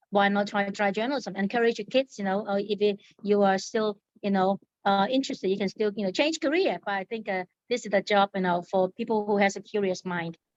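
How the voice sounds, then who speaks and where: Her voice is medium-pitched and fairly even in intonation, moving at a fairly quick pace with a dry, close sound that has no echo. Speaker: newspaper editor. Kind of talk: interview. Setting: podcast. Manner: fast.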